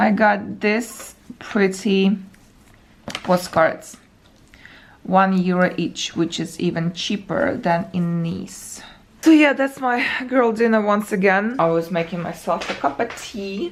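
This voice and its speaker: A woman with a non-native accent and a medium pitch speaks at a very slow pace, using lively intonation and long, frequent pauses. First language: not English. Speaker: travel vlogger. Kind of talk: casual vlog talk to camera. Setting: hotel room. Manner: uneven intonation and pauses.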